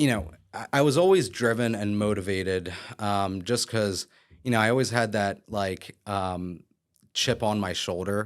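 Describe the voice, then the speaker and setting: In a very clean recording with a silent background, a man with an American accent and an unremarkable speaking voice talks at a fairly slow pace, his pitch fairly low with ordinary variation. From Philadelphia area, Pennsylvania. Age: 30s. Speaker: real estate broker and developer. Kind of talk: podcast interview. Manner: casual, many fillers.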